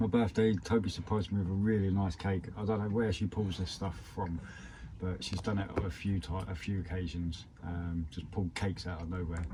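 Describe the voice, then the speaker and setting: Speaking at a fairly quick pace with a British accent, a man with a very deep, low pitch keeps a fairly even intonation over noticeable background noise. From UK. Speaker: travel vlogger. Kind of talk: casual vlog talk.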